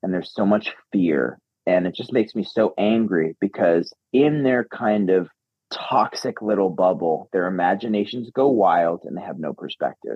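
A man with an unremarkable speaking voice talks at a moderate pace. His pitch is fairly low and his intonation lively. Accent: American. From upstate New York. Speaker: actor and filmmaker. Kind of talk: interview.

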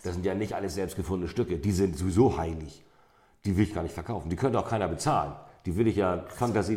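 The voice is somewhat breathy and the delivery comes at a very fast pace. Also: man, very deep, low pitch for a man, ordinary pitch variation. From North Frisia, Schleswig-Holstein. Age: 50s. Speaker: amber museum owner. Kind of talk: interview. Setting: in his shop.

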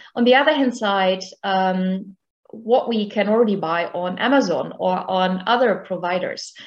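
A woman with a German accent, medium-pitched, at a fairly slow pace. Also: ordinary pitch variation. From rural Germany. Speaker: professor of medicine and geriatrician. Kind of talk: interview.

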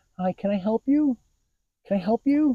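Moderate-paced, fairly high-pitched delivery in a put-on character voice. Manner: fake-nice, overly polite.

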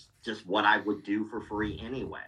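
Speaking at a moderate pace, a man has a fairly low pitch, a bright, sharp tone and little pitch movement.

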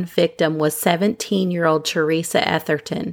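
At a moderate pace, a woman with a fairly low pitch talks in a normal speaking voice. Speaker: true crime podcaster. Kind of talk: scripted narration.

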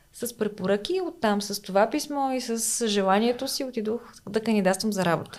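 Fairly high in pitch, a woman talks in a plain, everyday voice at a moderate pace, her pitch varying in an ordinary way. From Bulgaria, Smolyan (Rhodopes). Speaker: veterinarian. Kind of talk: casual interview.

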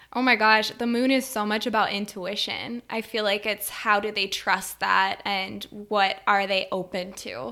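Speaking slowly-ish at a fairly slow pace, a woman with an American accent uses an unremarkable speaking voice, medium pitch and fairly even intonation. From rural Wisconsin, US Upper Midwest. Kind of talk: casual chat.

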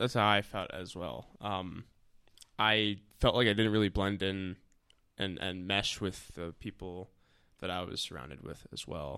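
With an American accent, a man speaks at a fairly slow pace with long, frequent pauses, his very deep, low voice bright and sharp in tone with vocal fry, ordinary pitch variation and big swings in loudness. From New Jersey, Maplewood. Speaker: host's boyfriend, former conservation corps member. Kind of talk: casual chat.

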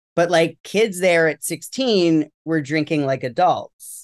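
In a normal speaking voice, a man with an American accent talks at a fairly slow pace with ordinary pitch variation against a quiet background. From New York City area. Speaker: educator. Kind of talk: recovery testimony interview.

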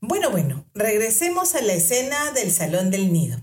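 A somewhat breathy woman's voice swings very widely in pitch. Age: 50s. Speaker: podcast host. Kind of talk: casual storytelling monologue.

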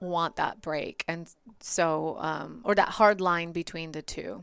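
A woman's fairly low voice with a Bulgarian accent, on a very clean recording against a silent background. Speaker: marketing agency co-founder. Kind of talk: interview conversation.

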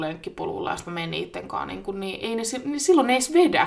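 Over noticeable background noise, a woman with a fairly high pitch talks at a very fast pace with very wide pitch swings. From Finland, Vantaa area. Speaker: podcast co-host. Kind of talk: casual chat. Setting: home studio.

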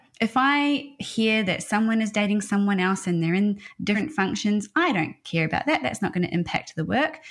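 A woman speaks at a moderate pace and medium pitch, somewhat breathy, with lively intonation. She hardly pauses and keeps her loudness very even. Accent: Australian. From Australia. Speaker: HR consultancy founder. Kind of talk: interview conversation. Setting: video call.

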